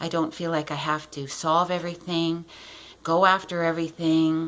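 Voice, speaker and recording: A woman with a very deep, low pitch talks at a fairly slow pace. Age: 60s. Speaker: client giving a testimonial. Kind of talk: testimony.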